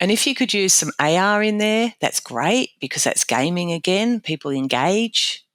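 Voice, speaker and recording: A woman's medium-pitched voice in an Australian accent, with very wide pitch swings and a dry, close sound with no echo, on a very clean recording with a silent background. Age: 60s. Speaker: safety training consultant. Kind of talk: interview. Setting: podcast interview.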